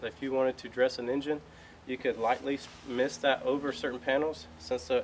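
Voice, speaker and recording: A man with a Southern US accent talks at a fairly quick pace, medium in pitch with ordinary pitch variation. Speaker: car detailer. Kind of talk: tutorial. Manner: fast.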